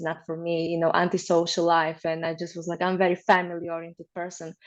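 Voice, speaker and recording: A woman's fairly low voice with a Slovak accent against a quiet background. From Slovakia. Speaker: marriage consultant. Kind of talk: interview.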